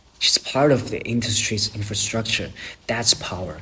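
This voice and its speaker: A man with a non-native accent talks at a medium pitch. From China. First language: not English. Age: young. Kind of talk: casual talk to camera.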